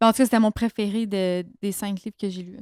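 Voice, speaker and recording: A woman with a Quebec accent is heard on a very clean recording with a silent background and a dry, close sound with no echo. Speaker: book podcast co-host. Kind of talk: casual chat.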